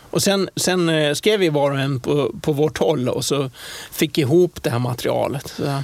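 Noticeable background noise runs under the voice. Pitch variation is ordinary. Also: man, fairly high pitch for a man, moderate pace. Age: 60s. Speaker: airline pilot. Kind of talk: interview. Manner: halting.

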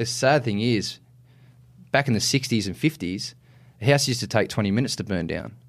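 Talking at a fairly quick clip with long, frequent pauses, a man with an Australian accent uses a medium pitch and ordinary pitch variation. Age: 20s. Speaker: firefighter and lifeguard. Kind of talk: casual interview chat.

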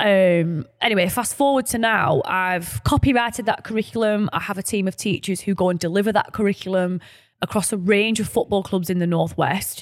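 On a very clean recording with a silent background, a woman with a Lancashire accent speaks in a medium pitch with hardly any pauses. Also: ordinary pitch variation, fairly quick pace. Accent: northern English, Lancashire. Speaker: podcast co-host and founder. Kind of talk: casual chat. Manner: informal, laughing, self-deprecating.

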